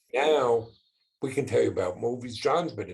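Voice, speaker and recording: A man speaks with ordinary pitch variation and a somewhat breathy voice. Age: 60s. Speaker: business owner and father. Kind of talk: podcast interview.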